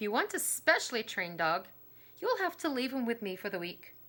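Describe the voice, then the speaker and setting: Swinging very widely in pitch, a put-on character voice moves at a fairly quick pace. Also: woman, fairly high pitch for a woman. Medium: read story.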